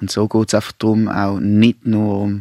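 An ordinary speaking voice from a man, fairly low in pitch and at a moderate pace, with a dry, close sound with no echo on a very clean recording with a silent background. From Basel, Switzerland. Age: 30s. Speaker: primary school teacher and anti-racism activist. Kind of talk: radio interview and moderation.

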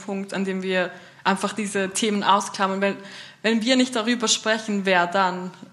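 A woman with a medium pitch speaks in a monotone, flat intonation over noticeable background noise. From Switzerland, St. Gallen Rhine Valley. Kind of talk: panel discussion.

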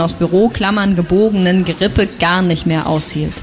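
Over noticeable background noise, a woman talks at a moderate pace in a medium pitch with ordinary pitch variation. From Thuringia, eastern Germany. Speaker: novelist. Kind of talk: reading aloud; interview.

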